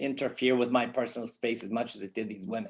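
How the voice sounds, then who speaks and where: Against a quiet background, a man with an American accent talks at a medium pitch. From US, Los Angeles. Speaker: filmmaker and activist. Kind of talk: conference talk. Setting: online conference. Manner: hesitant, many fillers.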